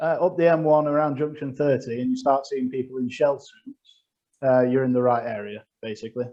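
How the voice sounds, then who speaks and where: A man speaks at a moderate pace in a fairly high pitch. His tone is dark and mellow. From northern England, Sheffield. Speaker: comedian. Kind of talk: stand-up. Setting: video call.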